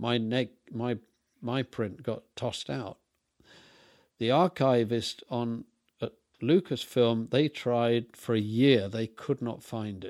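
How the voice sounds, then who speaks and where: With an English accent, a man speaks at a very slow pace with long, frequent pauses, medium pitch and ordinary pitch variation, in a very clean recording with a silent background and dry, close sound with no echo. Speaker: film set designer and director. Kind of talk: interview.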